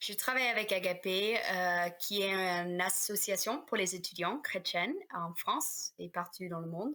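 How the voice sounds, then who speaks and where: A woman's bright, sharp tone in a slight North American accent, medium pitch with ordinary pitch variation, at a fairly slow pace with hardly any pauses. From Canada / United States. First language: English (speaking French). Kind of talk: casual podcast interview.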